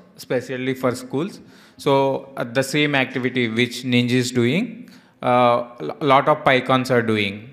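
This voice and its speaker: A plain, everyday voice talks at a fairly slow pace with fairly even intonation. The background is quiet. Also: man. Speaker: session moderator. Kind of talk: Q&A moderation. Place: hall.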